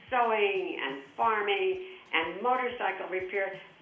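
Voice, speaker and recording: Music in the background and audible room echo behind a woman speaking. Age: 80s+. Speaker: charity founder. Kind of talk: interview. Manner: halting.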